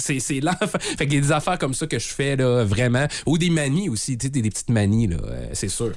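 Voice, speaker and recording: With a Quebec accent, a man talks at a medium pitch and a fairly quick pace, his tone animated and his intonation lively. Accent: Québécois French. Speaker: morning radio host. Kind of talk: casual radio chat.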